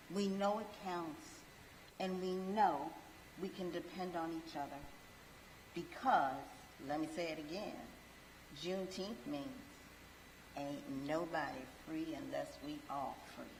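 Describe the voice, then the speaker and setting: Speaking at a fairly slow pace, a woman leaves long, frequent pauses, her fairly low pitch carrying lively intonation. Audible room echo surrounds her. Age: 60s. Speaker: event co-chair. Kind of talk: ceremonial speech.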